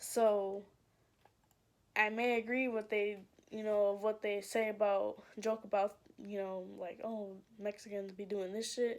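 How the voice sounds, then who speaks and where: A woman at a medium pitch, monotone and flat, at a fairly slow pace with long, frequent pauses. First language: Spanish. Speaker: YouTuber. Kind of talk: casual vlog monologue. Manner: casual, filler-heavy.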